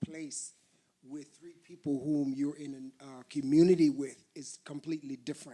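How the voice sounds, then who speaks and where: In an American accent, a man speaks at a fairly slow pace with a fairly high pitch and monotone, flat intonation. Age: 60s. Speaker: artist and performer. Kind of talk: panel talk.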